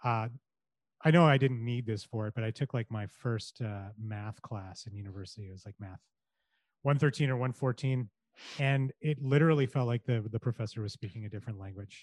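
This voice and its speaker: Speaking fairly quickly with a Canadian accent, a man has a normal speaking voice, a medium pitch, ordinary pitch variation and big swings in loudness, in a dry, close sound with no echo. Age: 40s. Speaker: storyteller in corporate marketing. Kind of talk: podcast interview. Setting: video call.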